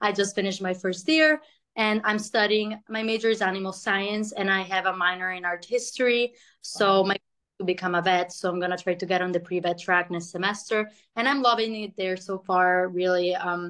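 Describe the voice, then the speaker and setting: Against a quiet background, a woman speaks fairly quickly at a medium pitch with a bright, sharp tone. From Milan, Italy. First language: Italian. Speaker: university student. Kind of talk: interview testimony. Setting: video call. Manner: casual. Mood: friendly, upbeat. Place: home room. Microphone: video call.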